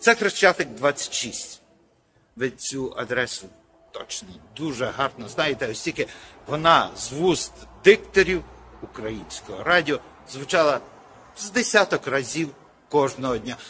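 Over music in the background, a man speaks at a fairly slow pace with a fairly high pitch, very wide pitch swings, big swings in loudness, and long, frequent pauses. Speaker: TV program host. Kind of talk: casual talk to camera. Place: street. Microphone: phone near.

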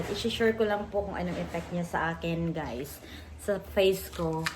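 With a Visayan accent, the speaker talks at a moderate pace. Noticeable background noise and audible room echo fill the recording. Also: woman. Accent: Visayan accent in Tagalog. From Visayas, Philippines. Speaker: vlogger. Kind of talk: product review vlog. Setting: in a car on a highway. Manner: halting.

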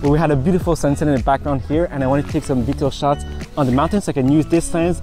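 Over clear background music, a man talks with ordinary pitch variation in a dry sound with no echo. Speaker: tech video creator. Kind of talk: tutorial. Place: beach.

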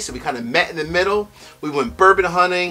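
Faint music plays in the background as the speaker moves along at a fairly quick pace. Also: man. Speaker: bourbon review channel host. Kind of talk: casual vlog chat. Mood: upbeat, grateful. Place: home room.

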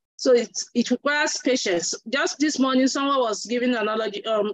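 A woman talks at a fairly quick pace with a fairly high pitch. Her pitch varies in an ordinary way.

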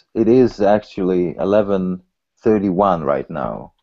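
Against a quiet background, a man with a Polish accent speaks at a fairly low pitch with ordinary pitch variation. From Poland, raised in Sweden from age 11. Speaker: software developer. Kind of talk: pair programming session. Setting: video call. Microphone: video call.

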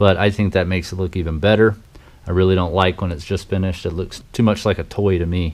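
Fairly even intonation from a man with a very deep, low voice, fairly quick in pace. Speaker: hobbyist vlogger. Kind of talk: tutorial. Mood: casual, relaxed. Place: workshop. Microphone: phone near.

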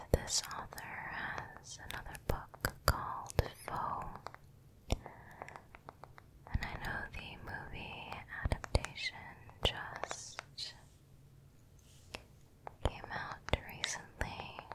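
Whispering and breathy, a woman speaks at a very slow pace with long, frequent pauses, the sound dry with no echo amid loud background noise. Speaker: ASMR creator. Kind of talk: soft-spoken ASMR book chat. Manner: close breathy whisper into microphone. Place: home room. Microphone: studio mic.

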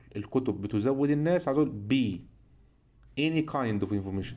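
A man with an Egyptian accent speaks in a dark, mellow tone with lively intonation. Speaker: English teacher. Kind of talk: lecture.

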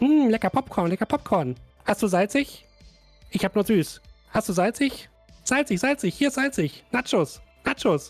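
A put-on character voice, squeaky and robotic with fairly high pitch, moves at a fairly slow pace with long, frequent pauses over faint music in the background.

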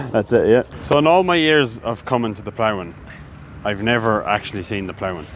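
A man speaks at a fairly quick pace with a northwest Irish accent and lively intonation, over light background noise. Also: dry sound with no echo. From Ireland, Sligo; Ireland. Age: 20s. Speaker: farmer and sheep shearer; sheep shearer vlogger. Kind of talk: casual vlog chat. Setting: outdoors at agricultural show. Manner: animated. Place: open country. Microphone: phone near.

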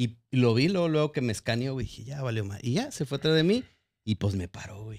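With a normal speaking voice, a man at medium pitch talks at a fairly quick pace using lively intonation, recorded very cleanly against a silent background. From Guadalajara, Mexico. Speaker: podcast host. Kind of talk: casual chat.

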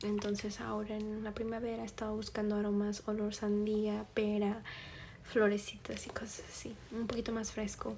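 A soft-spoken woman at a moderate pace, with light background noise. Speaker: beauty vlogger. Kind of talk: casual vlog chat. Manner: soft-spoken, hushed ASMR voice. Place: home room. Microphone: phone near.

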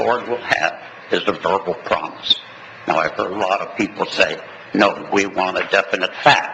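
A man talks fairly slowly as noticeable background noise continues underneath. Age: 90s. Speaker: resident speaking at public comment. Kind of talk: public comment at a city board meeting.

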